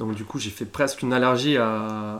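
This is an ordinary speaking voice at a moderate pace, with fairly even intonation. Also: man. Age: 30s. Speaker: apprentice market gardener. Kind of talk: interview. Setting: on the farm.

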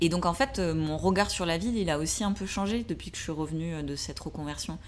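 A woman at a moderate pace with audible room echo. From southwestern France, Ariège. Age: 30s. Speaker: urban farmer and content creator. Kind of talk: interview. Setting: at home in Paris.

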